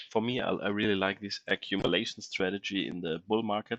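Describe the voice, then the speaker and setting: A man speaks at a moderate pace with a non-native accent, his pitch fairly low and his intonation fairly even. His tone is bright and sharp, and the sound is dry and close with no echo over a quiet background. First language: not English. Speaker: crypto investing YouTuber. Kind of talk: casual screen-share tutorial. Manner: halting, many fillers.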